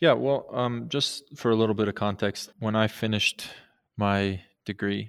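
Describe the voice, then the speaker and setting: Over a very clean recording with a silent background, a man speaks at a moderate pace with an American accent. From Montana. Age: 30s. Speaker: archaeologist and museum curator. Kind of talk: interview.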